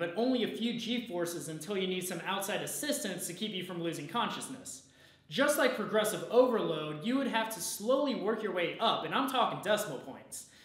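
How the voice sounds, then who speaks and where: Hardly any pauses, with audible room echo. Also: man. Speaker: presenter. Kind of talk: explainer video talk. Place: gym.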